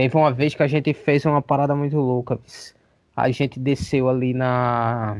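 A man speaks in a normal speaking voice at a moderate pace and medium pitch. His loudness stays very even and his intonation fairly even. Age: 30s. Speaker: vocalist of a hardcore band. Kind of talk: casual chat.

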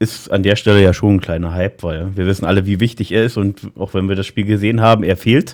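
A man talks at a very fast pace with hardly any pauses. His pitch is fairly low. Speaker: podcast host. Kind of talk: casual chat. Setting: at home at desk.

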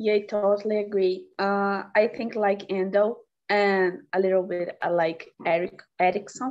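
A woman speaks at a fairly slow pace with a Portuguese accent. Her pitch is medium and her intonation fairly even. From Brazil, Minas Gerais. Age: 20s. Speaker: biomedicine student. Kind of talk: casual conversation practice. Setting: video call.

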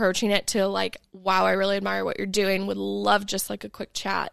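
The recording is very clean, with a silent background and a dry, close sound with no echo. Speech moves at a moderate pace. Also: woman. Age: 20s. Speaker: podcast guest, entrepreneur. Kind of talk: casual chat. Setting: in person in a workshop.

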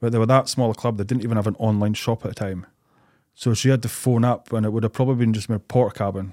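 Here a man speaks at a very fast pace. His voice has a medium pitch and a dark, mellow tone. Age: 30s. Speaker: amateur footballer and football fan. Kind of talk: casual chat.

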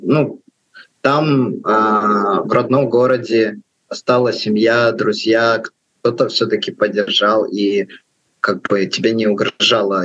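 In an unremarkable speaking voice, a man talks at a medium pitch with ordinary pitch variation and very even loudness. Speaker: podcast co-host. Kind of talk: podcast interview.

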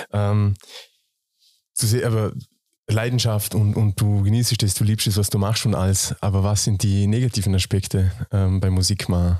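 A man with a fairly low pitch and a dark, mellow tone speaks in a flat monotone at very even loudness, leaving long, frequent pauses, in a very clean recording with a silent background. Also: moderate pace. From Austria, Vorarlberg. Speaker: podcast host. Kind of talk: casual chat.

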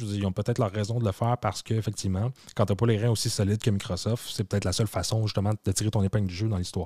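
With a Quebec accent, a man speaks very fast in a flat monotone, his fairly low voice dark, mellow and somewhat breathy, recorded dry and close with no echo. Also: very clean recording, silent background. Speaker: tech podcast co-host. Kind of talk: casual chat.

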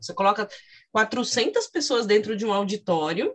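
The voice is a normal speaking voice at a moderate pace. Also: woman. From interior of São Paulo state. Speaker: podcast host and psychology professor. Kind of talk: interview.

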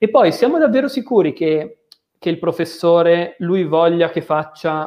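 Speaking at a fairly slow pace, a man has a high pitch and ordinary pitch variation. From Milan area, northern Italy. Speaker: mathematics graduate working in software analysis. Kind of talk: casual interview on livestream.

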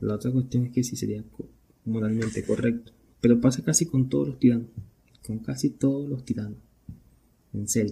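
This man has a dark, mellow tone, is somewhat breathy and shows ordinary pitch variation. He talks at a fairly quick pace with long, frequent pauses. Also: medium pitch for a man. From Venezuela. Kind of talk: casual solo podcast monologue.

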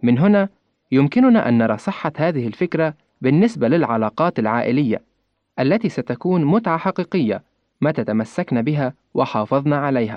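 At a fairly slow pace, a man talks in a fairly high pitch with very wide pitch swings and very even loudness. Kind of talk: scripted religious reflection.

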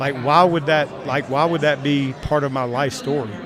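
Through noticeable background noise, a man speaks with a fairly high pitch. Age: 50s. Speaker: sales trainer. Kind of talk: casual chat.

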